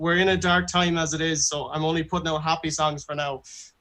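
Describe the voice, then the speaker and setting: A man with an Irish accent talks at a fairly quick pace in a fairly high pitch with a bright, sharp tone. His intonation stays monotone and flat. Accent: Irish (Galway). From Ireland, Galway. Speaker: singer-songwriter. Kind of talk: interview.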